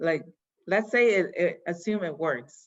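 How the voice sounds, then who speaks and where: A very slow woman's voice, fairly low in pitch, with a Yoruba accent. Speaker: fashion company founder. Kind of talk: interview answering children's questions. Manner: casual, many fillers.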